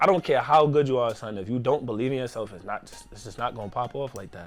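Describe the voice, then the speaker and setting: Music plays in the background as a man with a New York accent talks at a very fast pace. His medium pitch shows ordinary variation, and his loudness swings widely. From New York, Queens. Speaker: rapper. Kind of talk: casual chat.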